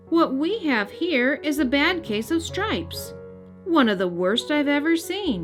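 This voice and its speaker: A woman puts on a character voice, pitched high. She talks at a fairly slow pace with clear music playing behind her. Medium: read story. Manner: gentle, bright and kindly.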